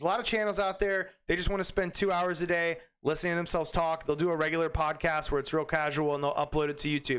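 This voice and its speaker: Pitched high, a man talks at a very fast pace with very even loudness. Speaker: fantasy basketball YouTuber. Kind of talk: tutorial. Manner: energetic.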